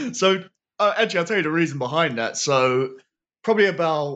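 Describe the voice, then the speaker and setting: Against a quiet background, a man with a London accent talks at a fairly quick pace. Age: 20s. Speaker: professional wrestler. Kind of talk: casual chat.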